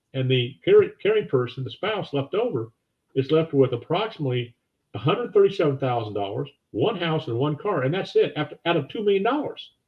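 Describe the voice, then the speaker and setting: Somewhat breathy, a man with a fairly high pitch talks at a fairly quick pace, his pitch swinging very widely. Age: 70s. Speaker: financial advisor. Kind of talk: interview.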